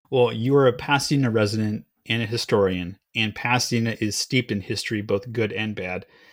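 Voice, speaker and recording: The speech moves at a fairly quick pace with fairly even intonation on a very clean recording with a silent background. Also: man, medium pitch for a man. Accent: American. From Los Angeles, US. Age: 40s. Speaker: podcast host. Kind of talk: interview.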